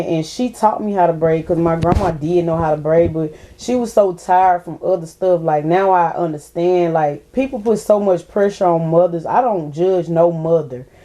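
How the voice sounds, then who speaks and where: A woman with an Alabama accent, fairly low-pitched, at a moderate pace with hardly any pauses and ordinary pitch variation. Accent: Southern US (Alabama). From Mobile, Alabama. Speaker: rapper and hairstylist. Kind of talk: interview answer. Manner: casual.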